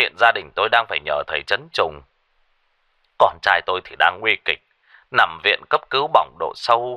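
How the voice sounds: A man puts on a character voice with a low pitch, a bright, sharp tone and lively intonation, talking at a moderate pace in a dry, close sound with no echo.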